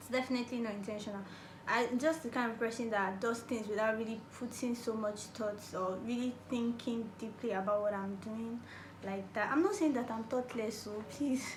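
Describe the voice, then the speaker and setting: A woman's fairly high voice comes at a moderate pace with fairly even intonation, amid audible room echo and noticeable background noise. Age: 20s. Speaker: YouTuber. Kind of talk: casual Q&A vlog.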